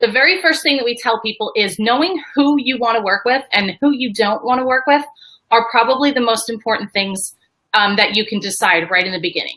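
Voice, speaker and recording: Speaking at a fairly quick pace, a woman uses lively intonation and a fairly high pitch. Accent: New York. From New York. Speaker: business strategist. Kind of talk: live webinar presentation. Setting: live video stream. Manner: fast.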